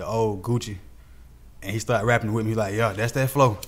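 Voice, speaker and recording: A man speaks in a fairly low voice with an American accent. His pace is fairly quick and his intonation fairly even. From Atlanta, Georgia (Southside, Zone 3). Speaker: rapper. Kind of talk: casual interview chat.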